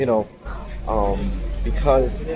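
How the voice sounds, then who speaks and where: Noticeable background noise fills the recording. Over it, the man's voice shows ordinary pitch variation. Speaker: vlogger in recovery. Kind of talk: personal testimony vlog. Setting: outdoors on a ferry. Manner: quiet, low voice; halting, many fillers.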